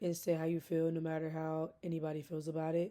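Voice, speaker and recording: The woman talks at a moderate pace. Her tone is dark and mellow. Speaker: graduate student. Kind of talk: recorded class speech, informal monologue. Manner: passionate, intense.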